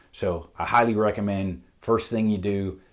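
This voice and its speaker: A man with a Southern US accent talks at a moderate pace, his pitch fairly low and his intonation fairly even. The recording is very clean, with a silent background. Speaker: auto mechanic. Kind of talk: tutorial.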